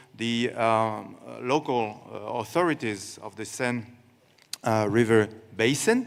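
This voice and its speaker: A man with a French accent talks at a very slow pace, his intonation fairly even and his loudness swinging widely. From France. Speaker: water organization official. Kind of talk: press conference answer. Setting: stage with audience. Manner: halting.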